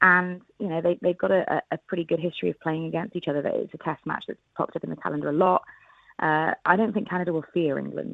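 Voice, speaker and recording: Talking at a very fast pace, a woman speaks with a Welsh accent. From Wales, Cardiff. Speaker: sports broadcaster. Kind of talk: radio interview.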